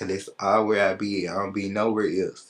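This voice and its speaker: In an American accent, a man talks at a fairly quick pace with a fairly low pitch. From Memphis, Tennessee. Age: 20s. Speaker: rapper. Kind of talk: interview. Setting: studio. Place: studio.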